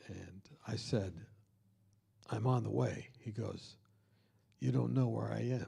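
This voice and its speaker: A man's dark, mellow voice with vocal fry, fairly low in pitch, with very wide pitch swings, a fairly slow pace and long, frequent pauses, in audible room echo. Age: 60s. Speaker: speaker leading a college week of prayer. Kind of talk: sermon.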